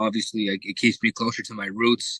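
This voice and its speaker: A man with an American accent talks at a moderate pace in a fairly low pitch. His tone is bright and sharp, and the sound is dry and close with no echo. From South Florida. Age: 20s. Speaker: native English conversation partner. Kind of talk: casual conversation practice. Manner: relaxed, with many fillers.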